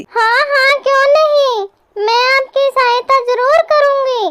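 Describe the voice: A woman puts on a squeaky, cartoonish character voice at an extremely high pitch. She speaks at a very slow pace with ordinary pitch variation.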